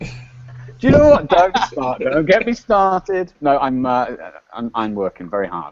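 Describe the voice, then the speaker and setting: The speaker talks at a fairly slow pace in a British accent. The pitch swings very widely. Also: man, fairly high pitch for a man. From UK. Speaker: panelist. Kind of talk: panel chat. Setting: video call from hotel.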